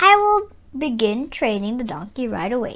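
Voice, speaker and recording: A woman puts on a character voice at a high pitch. She moves at a moderate pace with very wide pitch swings. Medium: read story. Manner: soft-spoken, sly.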